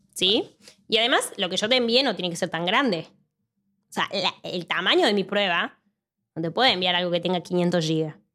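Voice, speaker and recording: A woman's bright, sharp voice in a Cordoban Argentine accent, medium in pitch with ordinary pitch variation, at a moderate pace with long, frequent pauses. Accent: Argentine Spanish, Córdoba. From Argentina, Córdoba. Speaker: mathematics PhD researcher. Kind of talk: casual interview.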